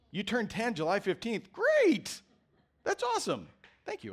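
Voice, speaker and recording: The speech moves at a moderate pace with long, frequent pauses and big swings in loudness. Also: man. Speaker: pastor. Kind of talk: sermon. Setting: church.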